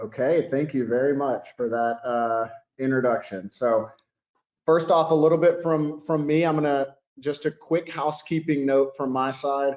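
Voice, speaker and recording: A man talks at a moderate pace in a fairly high pitch. He has an unremarkable speaking voice and ordinary pitch variation. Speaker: software sales executive. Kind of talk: webinar presentation.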